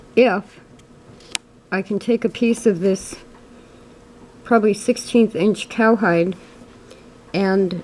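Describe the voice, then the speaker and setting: A woman talks at a fairly slow pace in a medium pitch with fairly even intonation, with noticeable background noise present. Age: 60s. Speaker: sewing video creator. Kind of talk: tutorial. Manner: hesitant, frequent ums.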